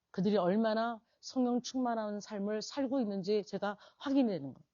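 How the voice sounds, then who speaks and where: At a moderate pace, a woman with a fairly high pitch speaks in an animated tone, with ordinary pitch variation and big swings in loudness. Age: 60s. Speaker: pastor. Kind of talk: sermon.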